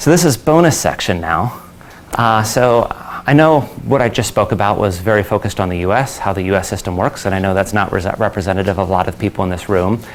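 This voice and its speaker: This man talks at a very fast pace in a fairly low pitch. His intonation is lively, and there is noticeable background noise. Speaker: conference speaker, company founder. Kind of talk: conference talk.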